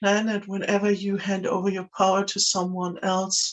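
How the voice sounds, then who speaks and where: A woman with a German accent, medium pitch, and a fairly slow pace. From Germany. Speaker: spiritual video creator. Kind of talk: talking-head monologue. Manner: hesitant, many fillers.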